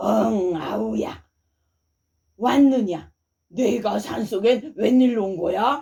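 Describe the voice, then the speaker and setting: A woman's put-on character voice, raspy and medium in pitch, at a very slow pace with long, frequent pauses. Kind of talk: bedtime story. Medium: read story. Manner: archaic elder speech, warm.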